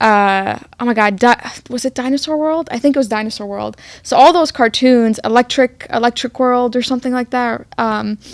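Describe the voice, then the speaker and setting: A woman's high-pitched voice with an Arabic accent, moderate pace and ordinary pitch variation, in a dry, close sound with no echo on a very clean recording with a silent background. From Egypt, raised in Queens NY. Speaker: podcast host. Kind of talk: casual chat. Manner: long pauses mid-sentence.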